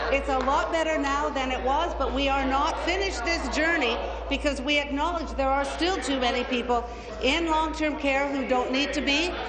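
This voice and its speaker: Speech at a moderate pace comes with noticeable background noise behind it. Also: woman. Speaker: government minister. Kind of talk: parliamentary debate. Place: hall. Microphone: podium.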